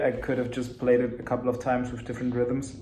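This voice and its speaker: Very fast speech in a non-native accent, with noticeable background noise and audible room echo. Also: man. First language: German. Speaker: musician. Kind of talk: practice session commentary. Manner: halting.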